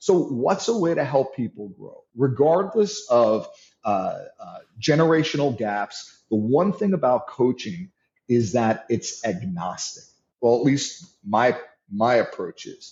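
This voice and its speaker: A man's somewhat breathy delivery with a New York accent, fairly slow pace, very wide pitch swings and big swings in loudness. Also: medium pitch for a man. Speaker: leadership and sales coach. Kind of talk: interview.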